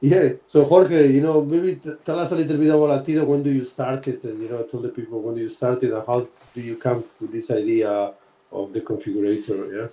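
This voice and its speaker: A man talks with a Spanish accent at a fairly quick pace. His tone is dark and mellow. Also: medium pitch for a man, ordinary pitch variation. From Spain. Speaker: podcast host, sportswear brand team member. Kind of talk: casual podcast chat. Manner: halting, frequent fillers.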